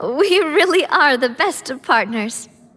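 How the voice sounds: Putting on a character voice, a woman speaks slowly at a high pitch with a fairly bright tone and lively intonation.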